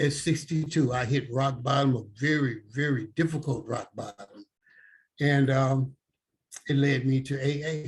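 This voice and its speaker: The man's voice sits at a fairly high pitch and sounds somewhat breathy. He speaks at a fairly slow pace. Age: 70s. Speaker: person in recovery sharing experience. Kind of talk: testimony. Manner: halting, with repetitions and fillers.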